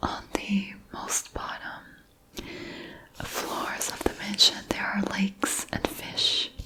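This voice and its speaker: The speaker whispers at a very slow pace. Noticeable background noise is present. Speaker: ASMR creator. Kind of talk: ASMR book haul, whispered rambling to camera. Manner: whispered, soft-spoken, relaxing.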